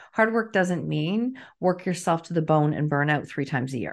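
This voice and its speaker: An unremarkable speaking voice goes at a moderate pace. The background is quiet. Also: woman. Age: 50s. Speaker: author and coach. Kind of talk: interview conversation.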